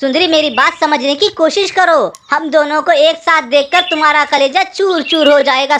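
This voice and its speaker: A cartoonish character voice, high in pitch, at a moderate pace with hardly any pauses. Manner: pleading, distressed.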